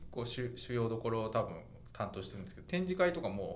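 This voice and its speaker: At a moderate pace, a man talks with medium pitch and lively intonation. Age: 40s. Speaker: fashion journalist and podcast host. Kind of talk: casual chat.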